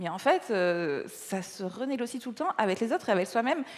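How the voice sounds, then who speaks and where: In a slight Nice accent, a woman speaks with a fairly high pitch. Her pitch swings very widely. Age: 30s. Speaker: gynecologist and author. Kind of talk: stage interview. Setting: stage with audience. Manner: halting, many repetitions.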